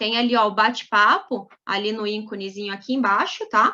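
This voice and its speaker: A woman talks with ordinary pitch variation. The background is quiet. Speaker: labor lawyer. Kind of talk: webinar lecture.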